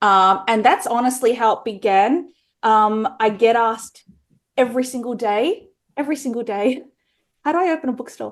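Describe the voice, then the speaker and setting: With an Australian accent, a woman speaks at a moderate pace. Her pitch is fairly high, with ordinary variation. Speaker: romance author and bookstore owner. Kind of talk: podcast interview.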